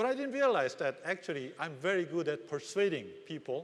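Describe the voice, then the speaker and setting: Talking at a fairly quick pace with a Korean accent, a man uses a high pitch that swings very widely. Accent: Korean, non-native English. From South Korea. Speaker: business executive. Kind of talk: conference keynote speech.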